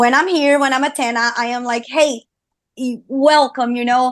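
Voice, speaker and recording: In a Portuguese accent, a woman speaks at a high pitch and a moderate pace. Her intonation stays fairly even. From Brazil, Rio de Janeiro. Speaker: singer and streamer. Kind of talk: interview. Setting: studio.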